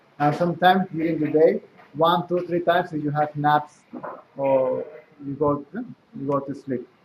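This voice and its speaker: A man with a fairly high voice talks fairly slowly, with ordinary pitch variation. Noticeable background noise is audible behind him. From South America. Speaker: spiritual teacher. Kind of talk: spiritual talk.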